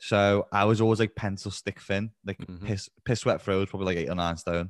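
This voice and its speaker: Speaking at a very fast pace with a Liverpool accent, a man holds a fairly low, monotone, flat pitch in a dry, close sound with no echo, on a very clean recording with a silent background. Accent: Liverpool (Scouse). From Liverpool, England. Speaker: online fitness coach. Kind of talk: casual interview chat. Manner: fast talker.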